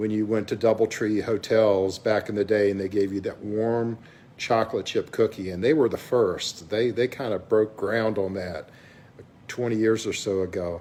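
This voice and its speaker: A man's fairly low, dark and mellow voice with fairly even intonation. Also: moderate pace. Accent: Southern US. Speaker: vlogger, businessperson. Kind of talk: casual vlog monologue. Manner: halting, many fillers.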